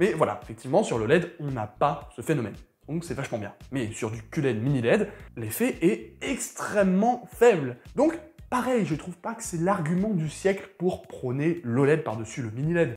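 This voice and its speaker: This man's voice swings very widely in pitch. He keeps a moderate pace. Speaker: tech youtuber. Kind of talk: casual tech review to camera.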